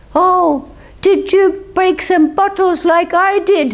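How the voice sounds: A squeaky, put-on character voice from a woman, extremely high in pitch, at a fairly slow pace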